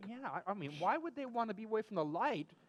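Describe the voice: Speaking fast, a man with a high pitch for a man swings widely up and down in pitch.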